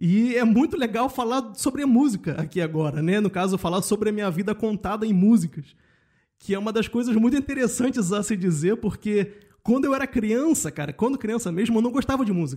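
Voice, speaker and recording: This dark, mellow voice comes through in a very clean recording with a silent background. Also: man, high pitch for a man, lively intonation, fairly quick pace. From Rio de Janeiro suburbs, Brazil. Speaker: podcaster and guest. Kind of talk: casual interview chat.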